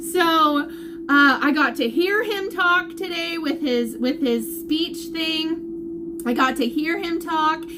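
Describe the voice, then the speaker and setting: With audible room echo around her, a woman projects a raised voice at an extremely high pitch, her tone bright and sharp and her pace very slow. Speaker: vlogger sharing family health updates. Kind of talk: live video update. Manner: loud, animated.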